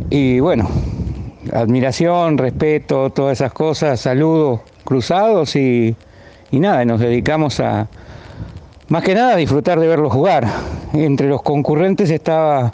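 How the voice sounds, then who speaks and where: With an Argentine accent, a man talks at a fairly high pitch with ordinary pitch variation as noticeable background noise runs behind him. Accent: Argentine Spanish (Rioplatense). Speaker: former amateur footballer. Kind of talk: anecdote.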